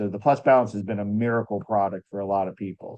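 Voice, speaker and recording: Delivered at a fairly quick pace, the speech keeps a fairly even intonation. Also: man. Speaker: company biochemist answering product questions. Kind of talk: live Q&A on video call. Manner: fast.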